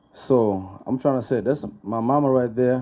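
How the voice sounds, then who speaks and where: With a Rwandan accent and a dark, mellow tone, a man speaks at a fairly slow pace with ordinary pitch variation. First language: Kinyarwanda. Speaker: book launch guest speaker. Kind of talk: speech with interpreter. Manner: halting.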